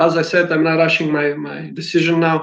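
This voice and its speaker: Here a man talks at a fairly quick pace. His fairly high voice stays monotone and flat. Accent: non-native. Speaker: basketball coach. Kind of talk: interview.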